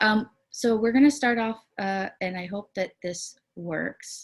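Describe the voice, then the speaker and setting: The voice belongs to a woman. It carries a somewhat breathy quality. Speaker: community organization director and presenter. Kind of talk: online presentation.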